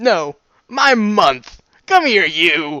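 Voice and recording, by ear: In a put-on character voice, a man speaks very slowly, high-pitched and bright, sharp in tone, with big pitch swings.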